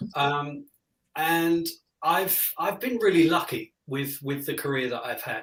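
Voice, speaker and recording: A man with a British accent and a high pitch talks at a fairly slow pace. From Britain. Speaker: music director. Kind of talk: interview.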